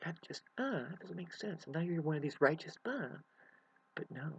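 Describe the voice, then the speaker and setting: Whispering at a moderate pace. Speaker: self-help vlogger. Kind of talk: emotional monologue to camera. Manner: halting.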